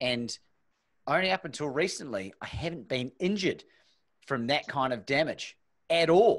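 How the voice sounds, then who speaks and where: Lively intonation comes at a moderate pace, broken by long, frequent pauses, against a quiet background. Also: man, fairly high pitch for a man. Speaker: podcast host. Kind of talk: casual interview. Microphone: studio mic.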